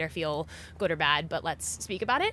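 A woman with a Californian accent talks very fast at a fairly low pitch. Her tone is bright and sharp, with vocal fry. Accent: Californian American. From US, California (Silicon Valley). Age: young. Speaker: agtech worker. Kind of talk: casual chat.

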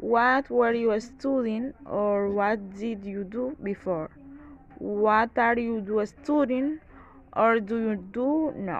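A woman with a Spanish accent speaks at a very slow pace. Her pitch is fairly high. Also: ordinary pitch variation. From Dominican Republic, San Pedro de Macorís. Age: 20s. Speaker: student. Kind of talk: reading aloud. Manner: halting.

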